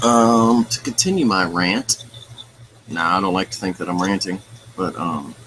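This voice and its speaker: Long, frequent pauses break up a man's moderate pace. His voice is fairly low and his pitch varies an ordinary amount. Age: 30s. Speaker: livestream host. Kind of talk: casual chat with live viewers.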